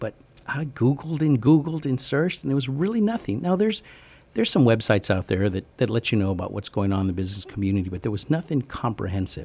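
A man's very fast, somewhat breathy speech in an American accent, medium pitch and a dark, mellow tone, full of very wide pitch swings. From US East and West Coast, teens in San Antonio. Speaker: entrepreneur, event calendar founder. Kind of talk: interview. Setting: radio studio.

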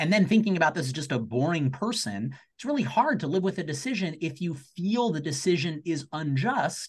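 A man speaks in a plain, everyday voice with lively intonation. His pace is fairly quick, with hardly any pauses. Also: fairly high pitch for a man. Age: 30s. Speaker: law professor. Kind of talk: panel discussion. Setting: video call.

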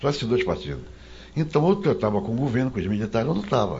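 Noticeable background noise and audible room echo surround the recording. A man speaks with very wide pitch swings. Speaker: journalist. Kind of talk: casual chat.

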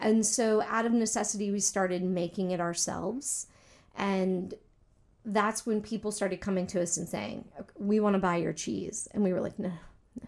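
A woman with an unremarkable speaking voice talks at a moderate pace in an American accent, with fairly even intonation. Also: medium pitch for a woman. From US South, military family. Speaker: cheesemaker and business owner. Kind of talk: interview.

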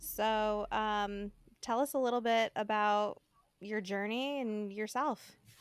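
A woman's fairly high voice at a very slow pace, with fairly even intonation, on a very clean recording with a silent background. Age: 30s. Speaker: podcast host. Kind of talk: podcast interview; scripted intro.

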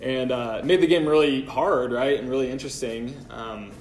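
There is audible room echo as the speaker goes at a moderate pace. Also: man. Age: 20s. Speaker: pastor. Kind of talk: sermon.

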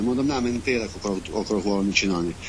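A man's voice over noticeable background noise. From Transcarpathia, Ukraine (mountain area). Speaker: environmental activist, river cleanup. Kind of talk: casual interview. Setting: online call.

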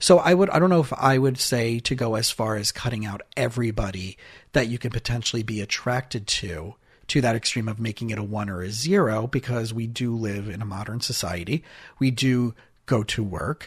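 Over a very clean recording with a silent background, a man talks at a fairly quick pace in a medium pitch, somewhat breathy, with ordinary pitch variation. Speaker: therapist. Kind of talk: casual chat.

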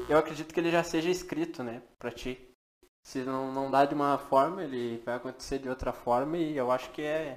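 With a plain, everyday voice, a man speaks at a fairly high pitch and a moderate pace with fairly even intonation. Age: 20s. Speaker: podcast producer. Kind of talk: casual chat.

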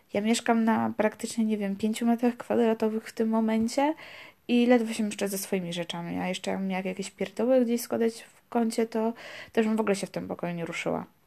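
A woman speaks very fast, her voice fairly high with a dark, mellow tone and fairly even intonation but big swings in loudness. The recording is very clean, with a silent background. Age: 20s. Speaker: podcast host, student. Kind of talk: casual monologue. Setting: home recording in her room. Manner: hesitant, with fillers.

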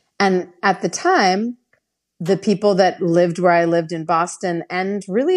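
A woman with an American accent has an ordinary speaking voice at a fairly low pitch. Her intonation is fairly even against a quiet background. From San Francisco, US. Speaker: singer-songwriter and fiddler. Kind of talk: casual interview chat. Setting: remote call.

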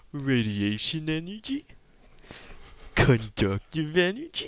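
A man puts on a character voice with a pompous tone. He talks fairly slowly at a fairly high pitch. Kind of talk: pretentious, jokey. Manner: snooty, pompous.

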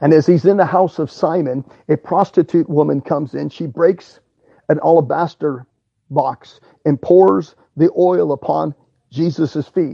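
This man's voice sits fairly high in pitch with vocal fry, moving at a fairly slow pace with ordinary pitch variation. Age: 50s. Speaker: preacher. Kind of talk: sermon. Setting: at home.

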